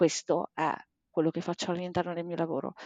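Against a quiet background, a woman speaks at a medium pitch, the sound dry and close with no echo. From Bologna, northern Italy. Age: 40s. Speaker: life and sports coach. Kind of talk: podcast interview.

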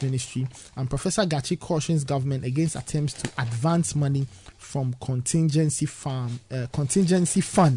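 A man's fairly quick, somewhat breathy speech in a Ghanaian accent, with a dark, mellow tone, a fairly high pitch and ordinary pitch variation. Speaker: radio host. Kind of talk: breakfast radio show. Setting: studio.

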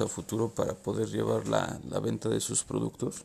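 A man talks with a Mexican accent. His pace is fairly slow. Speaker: podcast host. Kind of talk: casual interview. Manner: halting, repeats words.

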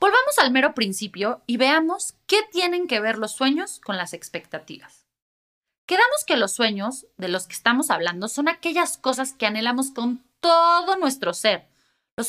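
A woman speaks in a Mexican accent with a high pitch and very wide pitch swings. Her tone is bright and sharp. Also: very clean recording, silent background. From Mexico. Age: 30s. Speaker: podcast host. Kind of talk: solo podcast monologue.

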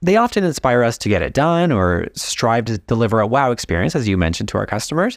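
A man with an American accent talks at a medium pitch and a fairly quick pace. His pitch swings very widely, and the sound is dry and close with no echo. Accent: American with slight European tinge. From US West Coast. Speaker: podcast host. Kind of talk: casual interview.

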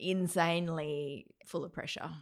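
Monotone, flat delivery with an Australian accent, on a very clean recording against a silent background. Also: woman. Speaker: events company owner. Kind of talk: casual chat.

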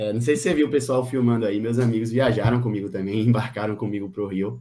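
On a very clean recording with a silent background, a man of medium pitch speaks at a fairly quick pace with a dark, mellow tone. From Brazil, Bahia (Salvador). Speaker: medical student and amateur runner. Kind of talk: interview. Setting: live stream.

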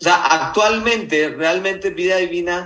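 With a bright, sharp tone, a man speaks at a high pitch and a moderate pace with ordinary pitch variation. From Mexico, Nayarit. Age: 30s. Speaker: network marketing leader. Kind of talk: business mentoring talk.

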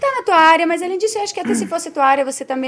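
Lively female intonation over noticeable background noise. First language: not Portuguese (speaking Portuguese). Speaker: podcast co-host. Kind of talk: casual chat.

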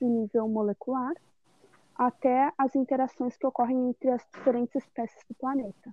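Her high-pitched voice stays monotone and flat as the woman speaks at a moderate pace. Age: 20s. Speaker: biology student. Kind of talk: student presentation, read script.

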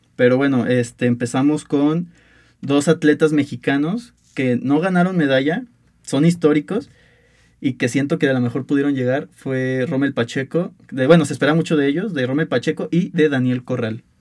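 A man in an ordinary speaking voice talks at a moderate pace, his fairly high pitch showing ordinary variation. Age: 20s. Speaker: university student sports podcast host. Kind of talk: casual sports debate.

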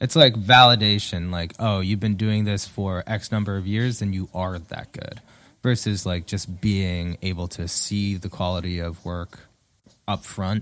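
On a very clean recording with a silent background, a man with a very deep, low voice speaks fairly slowly, his intonation fairly even. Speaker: podcast co-host and musician. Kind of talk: casual chat.

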